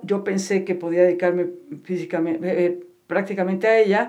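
A woman with a normal speaking voice, medium pitch and a moderate pace. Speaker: psychotherapist and meditation teacher. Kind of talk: interview.

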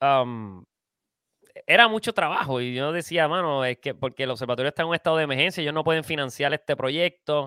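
A man's voice on a very clean recording with a silent background, dry and close with no echo. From Puerto Rico. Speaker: filmmaker. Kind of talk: casual interview.

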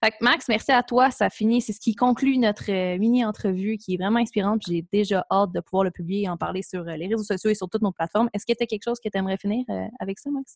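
At a very fast pace, a woman speaks in a somewhat breathy voice. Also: medium pitch for a woman, ordinary pitch variation. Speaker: podcast host. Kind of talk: scripted introduction; casual interview.

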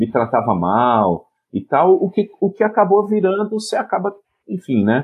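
In a São Paulo interior accent, a man speaks at a fairly slow pace with very wide pitch swings. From São Paulo state, Piracicaba. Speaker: education professor and comics researcher. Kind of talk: casual interview chat.

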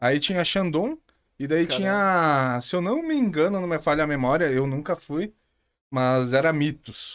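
A man's fairly high voice moves at a moderate pace with ordinary pitch variation, set against a quiet background. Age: 30s. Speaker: entrepreneur. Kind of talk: casual chat.

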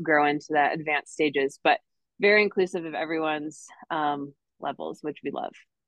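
Speaking with an American accent, a woman with a very deep, low pitch moves at a fairly quick pace with fairly even intonation. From northern Wisconsin, US. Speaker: fitness community business founder. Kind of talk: casual interview.

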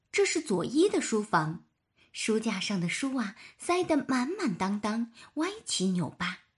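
With the background quiet, the text is delivered in an unforced reading voice.

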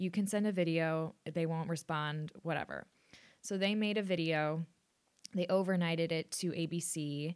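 A woman talks at a moderate pace with an American accent and a fairly low pitch. It is a plain, everyday voice. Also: fairly even intonation. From Austin, Texas. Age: 20s. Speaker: podcast host, former reality TV contestant. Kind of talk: casual interview. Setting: video call.

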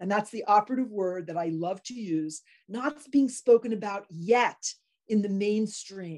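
An unremarkable speaking voice moves at a fairly slow pace, with ordinary pitch variation and big swings in loudness. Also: woman, medium pitch for a woman. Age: 60s. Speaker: podcast host, optometrist. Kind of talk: interview.

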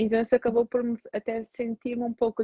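Fairly high pitch and a fairly quick pace from a woman speaking. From Portugal, of Angolan parents. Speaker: psychologist. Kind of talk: casual interview on a social media live stream. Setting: social media live video stream.

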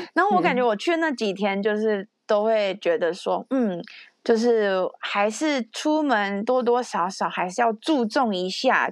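In a plain, everyday voice, a woman speaks at a fairly slow pace and fairly high pitch with lively intonation, recorded with a dry, close sound with no echo and a quiet background. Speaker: podcast host. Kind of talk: casual chat.

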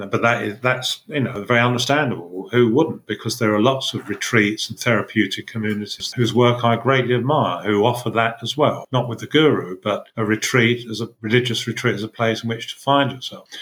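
With a southern English accent, a man talks at a fairly quick pace and medium pitch. His intonation is fairly even, and he hardly pauses. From England, Essex. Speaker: former teacher and writer on social movements. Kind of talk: casual chat. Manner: halting.

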